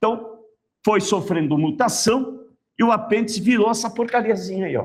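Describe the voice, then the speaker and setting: This man's tone is animated. His intonation stays lively throughout. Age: 60s. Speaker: biology teacher. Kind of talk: lecture. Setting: classroom with online students.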